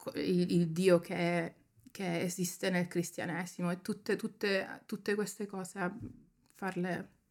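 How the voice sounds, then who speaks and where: A woman talks at a very slow pace with a medium pitch. Her intonation is monotone and flat. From Germany. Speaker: photographer and writer. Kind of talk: casual interview chat.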